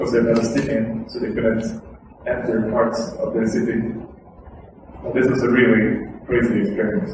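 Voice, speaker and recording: A man at a medium pitch with fairly even intonation, with audible room echo and noticeable background noise. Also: moderate pace. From Sweden. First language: Swedish. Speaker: activist speaker. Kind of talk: lecture. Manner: casual.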